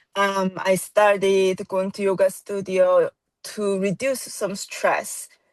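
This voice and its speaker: A woman with a Korean accent, recorded dry and close with no echo. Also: quiet background. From South Korea. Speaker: yoga teacher. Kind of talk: casual interview. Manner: hesitant, many fillers.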